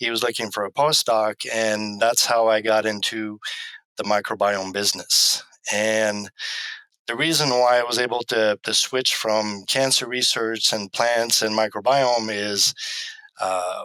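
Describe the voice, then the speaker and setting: A man speaks at a fairly slow pace with a medium pitch and fairly even intonation. His tone is bright and sharp, with a dry, close sound and no echo. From Quebec. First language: French. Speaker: animal science professor. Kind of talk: interview. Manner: hesitant, many ums.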